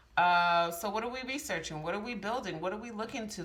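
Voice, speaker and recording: Over noticeable background noise and audible room echo, a woman talks at a fairly quick pace with a medium pitch and lively intonation. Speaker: tarot reader. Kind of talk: tarot reading. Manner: fast; casual, halting with fillers.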